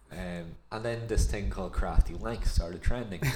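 A man speaks with an Irish accent. His pace is moderate and his pitch varies in an ordinary way. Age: 30s. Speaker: podcast co-host. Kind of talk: casual chat.

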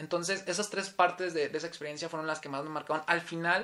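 With a high pitch and fairly even intonation, a man talks at a very fast pace. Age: 20s. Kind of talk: casual interview, faith testimony.

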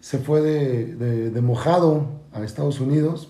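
A man's voice comes across dark, mellow, and somewhat breathy. Audible room echo surrounds it. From Mexico City. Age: 40s. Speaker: football coach. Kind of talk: casual chat. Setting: in-person studio recording. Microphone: distorted backup recording.

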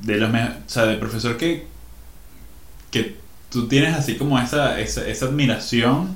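With a Venezuelan accent, a man speaks at a moderate pace and ordinary pitch variation. Audible room echo surrounds his voice. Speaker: podcast co-host. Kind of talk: casual chat. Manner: animated.

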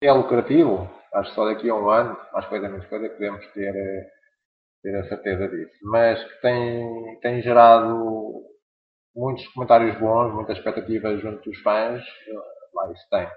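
A man in a normal speaking voice, medium in pitch, talks at a moderate pace with fairly even intonation and big swings in loudness. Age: 40s. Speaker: LEGO collector and blogger. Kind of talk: casual chat.

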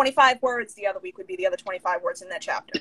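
The sound is dry and close, with no echo. A woman's pitch swings very widely. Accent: New York. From Long Island, New York. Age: 30s. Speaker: author and writing coach. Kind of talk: casual interview. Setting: Instagram live video.

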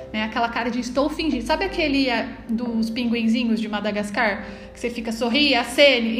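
Over noticeable background noise and audible room echo, a woman with a high pitch speaks at a very fast pace. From Brazil, Taubaté, São Paulo state. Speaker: teacher. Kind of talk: casual interview.

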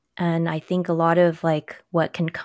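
The speech comes at a moderate pace, dry and close with no echo, in a very clean recording with a silent background. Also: woman. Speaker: pharmacist podcast co-host. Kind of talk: casual chat between co-hosts.

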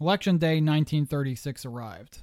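Here a man with a Pennsylvania accent talks at a fairly quick pace. His pitch is fairly high, and the recording is very clean with a silent background. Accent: Mid-Atlantic US (Pennsylvania). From southeastern Pennsylvania. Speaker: history podcast host. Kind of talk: scripted narration.

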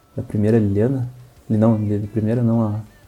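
A man's monotone, flat delivery over music in the background. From Rio Grande do Sul, Brazil (Santa Maria). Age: 20s. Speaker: card game player. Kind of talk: casual chat.

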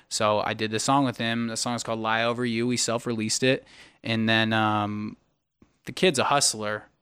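Against a silent background on a very clean recording, a man with an American accent speaks at a moderate pace. His medium-pitched voice has a bright, sharp tone and a monotone, flat intonation. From Sacramento, California. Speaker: singer-songwriter and producer. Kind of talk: casual chat. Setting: podcast live stream.

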